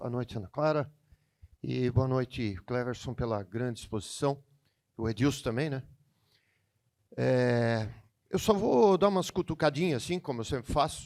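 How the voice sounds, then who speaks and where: At a moderate pace, a man with a medium pitch speaks with lively intonation and long, frequent pauses. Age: 60s. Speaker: state deputy. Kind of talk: audience question. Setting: business event with audience.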